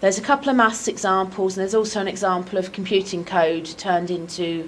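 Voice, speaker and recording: A woman talks at a fairly quick pace with lively intonation. There is noticeable background noise and audible room echo. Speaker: academic researcher. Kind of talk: lecture. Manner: fast.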